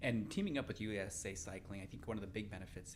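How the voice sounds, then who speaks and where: A man talks at a very fast pace with a fairly low pitch. Audible room echo surrounds his voice. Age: 40s. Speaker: podcast host and cyclist. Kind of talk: podcast interview.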